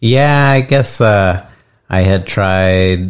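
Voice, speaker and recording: A man speaks in a very deep, low pitch. His pitch variation is ordinary. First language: English (speaking Spanish). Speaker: podcast host's husband. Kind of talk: casual chat. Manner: hesitant.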